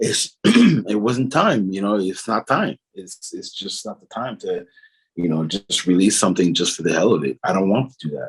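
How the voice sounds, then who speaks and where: At a moderate pace, a man speaks with fairly low pitch and lively intonation. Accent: Quebec. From Quebec. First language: French. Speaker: singer. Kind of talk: interview. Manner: halting.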